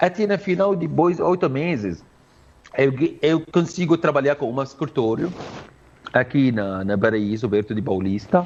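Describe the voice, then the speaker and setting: A man with an Arabic accent speaks at a fairly high pitch and a moderate pace. His pitch swings very widely. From Syria. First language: Arabic (speaking Portuguese). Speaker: Arabic language teacher. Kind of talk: interview. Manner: halting.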